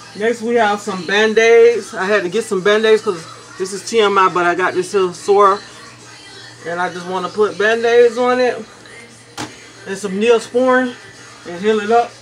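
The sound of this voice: Fairly even intonation at a moderate pace, with faint music in the background. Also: woman, medium pitch for a woman.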